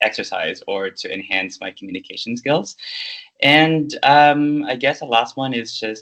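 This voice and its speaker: A man with a non-native accent talks at a fairly slow pace. His tone is bright and sharp, with ordinary pitch variation. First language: not English. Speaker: leadership program manager, MBA alumnus. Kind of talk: interview. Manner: halting, many fillers.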